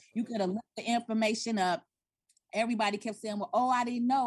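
Somewhat breathy, a woman's voice sits at a fairly high pitch. The sound is dry and close, without echo. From South Side of Chicago. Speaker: tax and business consultant. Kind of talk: interview.

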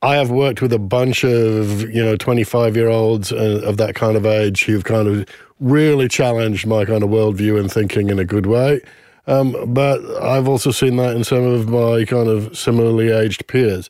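On a very clean recording with a silent background, a man with an Australian accent speaks at a moderate pace and medium pitch, his tone dark and mellow, his loudness very even and his intonation fairly even. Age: 50s. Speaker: marketing consultant. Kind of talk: casual chat.

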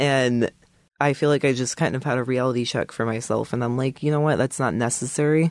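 Against a quiet background with a dry, close sound and no echo, a man of medium pitch uses an ordinary speaking voice at a fairly quick pace with fairly even intonation. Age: 20s. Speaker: coaching client. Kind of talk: casual interview.

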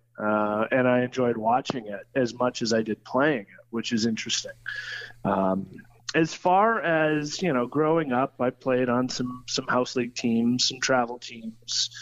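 A man at a medium pitch speaks against noticeable background noise. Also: ordinary pitch variation. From split between Troy, Ohio and London, Ontario. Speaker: former hockey broadcaster and hockey coach. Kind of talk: casual interview. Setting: phone call. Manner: hesitant with frequent fillers and repeats.

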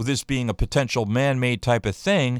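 At a moderate pace, a man with an American accent speaks at medium pitch with ordinary pitch variation, in a dry, close sound with no echo. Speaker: radio show host. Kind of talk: opinionated talk radio rant. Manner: angry, animated.

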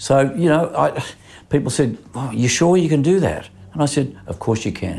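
Spoken with an Australian accent at a moderate pace, the voice carries vocal fry. Pitch varies in an ordinary way. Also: man, fairly high pitch for a man. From Australia, Sydney. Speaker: insurance broker and businessman. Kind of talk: interview. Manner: halting, with frequent fillers.

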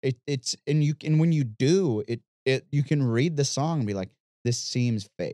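A man with an American accent speaks at a moderate pace in a fairly high pitch, with a dark, mellow tone, ordinary pitch variation and a dry, close sound with no echo. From Missouri. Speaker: podcast host and guitarist.

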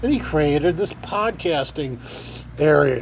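A man with an American accent speaks at a fairly slow pace. Noticeable background noise runs under him. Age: 50s. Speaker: homeless podcaster. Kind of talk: casual monologue. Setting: library. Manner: halting.

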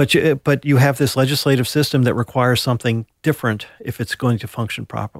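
An American-accented man speaks very fast at a medium pitch with hardly any pauses. His intonation is fairly even. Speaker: political analyst. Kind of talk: interview.

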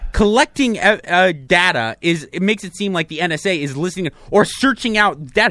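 A man with a high, bright, sharp voice speaks in a raised, projected, animated way at a fairly quick pace, his intonation lively, hardly pausing, the sound dry and close with no echo. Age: 30s. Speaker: radio and podcast co-host. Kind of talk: casual chat.

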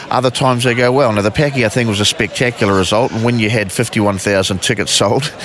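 A man with a New Zealand accent talks very fast at medium pitch with fairly even intonation, over noticeable background noise. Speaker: boxing promoter. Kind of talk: interview.

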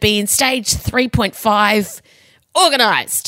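In an Australian accent, a bright, sharp voice with vocal fry sounds dry and close, with no echo. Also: woman. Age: 40s. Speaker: podcast host. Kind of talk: casual chat. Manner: animated.

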